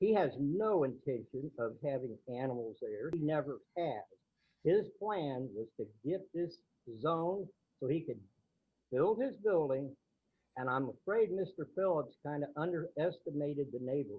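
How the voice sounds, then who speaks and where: Talking at a fairly slow pace, a man has an ordinary speaking voice. His pitch is fairly high, with lively intonation. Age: 60s. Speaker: neighbor speaking at public hearing. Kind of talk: public hearing comment.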